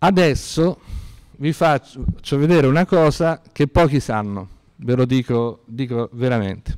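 A man with an unremarkable speaking voice talks at a fairly slow pace in a medium pitch, his intonation lively, the sound dry and close with no echo. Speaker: university lecturer. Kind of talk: lecture. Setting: classroom lecture, seated with two microphones.

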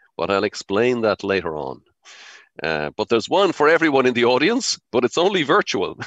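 A man's fairly quick voice with very wide pitch swings and vocal fry, dry with no echo, over a quiet background. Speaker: society host introducing speaker. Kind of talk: welcome speech and introduction. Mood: warm, jovial. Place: home room. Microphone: headset.

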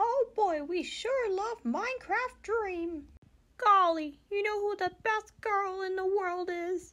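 A man speaks in a cartoonish character voice, pitched extremely high. His pace is fairly slow. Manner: upbeat.

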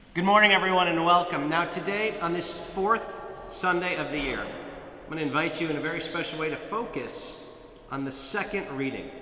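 A man's high-pitched voice at a fairly quick pace, with ordinary pitch variation, audible room echo and light background noise. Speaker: priest. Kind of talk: sermon. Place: church. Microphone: camera far.

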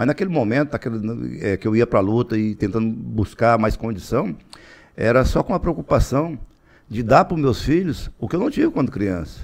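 Over a quiet background, the speaker uses lively intonation and vocal fry at a moderate pace. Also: man. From Tocantins, Brazil. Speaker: politician and businessman; politician. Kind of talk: interview; interview answer. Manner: halting, repeats words. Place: studio. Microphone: studio mic.

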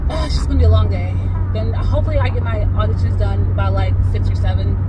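A woman talks at a very fast pace. Music plays in the background. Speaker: vlogger. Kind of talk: casual vlog chat. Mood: frustrated at other driver. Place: car. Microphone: phone near.

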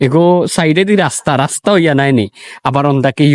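With a Sylheti accent, a man speaks with lively intonation in a dry, close sound with no echo. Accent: Sylheti Bengali. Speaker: vlogger. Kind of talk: casual vlog. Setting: outdoors by a river.

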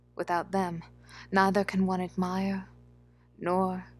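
A soft-spoken woman with a fairly low pitch and monotone, flat intonation, music in the background. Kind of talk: poetry reading.

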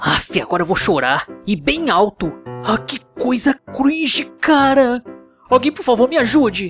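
A man speaks in a put-on character voice with an extremely high pitch at a moderate pace. Faint music plays in the background. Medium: dub. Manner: mocking, playful.

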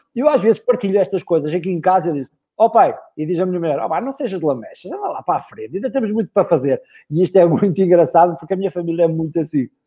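A high-pitched man's voice, very fast, with lively intonation. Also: quiet background. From northern Portugal. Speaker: body language expert and speaker; speaker. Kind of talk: live interview. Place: home room. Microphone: video call.

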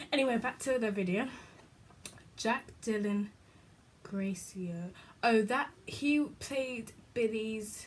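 A woman with a British accent speaks at a very slow pace, leaving long, frequent pauses. Her pitch variation is ordinary. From UK. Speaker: YouTuber; vlogger. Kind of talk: casual vlog chat. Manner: rambling, halting. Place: home room. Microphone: phone near.

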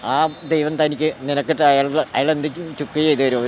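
A man at a fairly high pitch, with noticeable background noise. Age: 60s. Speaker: musician. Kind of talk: interview answer.

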